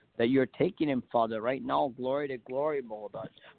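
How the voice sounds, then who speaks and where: Here a man of medium pitch speaks at a moderate pace in an unremarkable speaking voice. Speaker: prayer leader. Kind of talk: prayer. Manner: repetitive, fervent.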